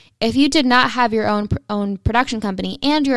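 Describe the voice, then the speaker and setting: Speaking fairly quickly in an unremarkable speaking voice, a woman pitched fairly high uses ordinary pitch variation on a very clean recording with a silent background. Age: 20s. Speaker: podcast co-host, photographer. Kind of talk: casual chat.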